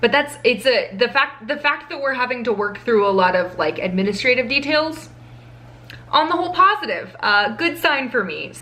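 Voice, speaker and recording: A high-pitched woman talks at a fairly quick pace, her pitch swinging very widely. Noticeable background noise runs behind her. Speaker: law school vlogger. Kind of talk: vlog to camera. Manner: fast; casual, chatty with fillers.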